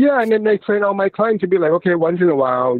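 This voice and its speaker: Words come at a very fast pace from this man. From Thailand. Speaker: celebrity makeup artist. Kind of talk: casual interview chat.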